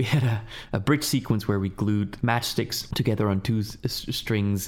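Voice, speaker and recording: A man is speaking. His pace is moderate. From Switzerland. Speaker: film director. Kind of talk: interview.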